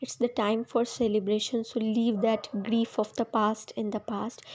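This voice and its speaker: Her tone is dark and mellow. The woman keeps to a fairly slow pace. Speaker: tarot reader. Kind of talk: tarot reading. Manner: hesitant, many fillers.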